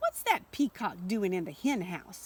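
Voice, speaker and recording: A put-on character voice swings very widely in pitch at a moderate pace. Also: woman, medium pitch for a woman. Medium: read story.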